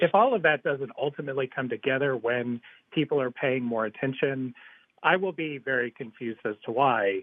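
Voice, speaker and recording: This man has an unremarkable speaking voice, medium in pitch and moderate in pace. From Georgia, US South. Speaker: podcast producer. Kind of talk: political discussion.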